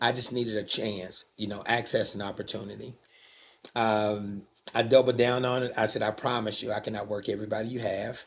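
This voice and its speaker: A man at medium pitch, fairly quick and monotone, with flat intonation and noticeable background noise. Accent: Southern. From US South, Alabama. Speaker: nonprofit CEO, former tradesman. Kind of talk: interview, personal story. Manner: casual, with many fillers.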